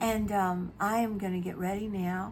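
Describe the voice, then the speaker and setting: Her bright, sharp tone carries audible room echo as this woman speaks. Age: 70s. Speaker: beauty vlogger. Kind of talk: casual chat. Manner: casual, hesitant with fillers.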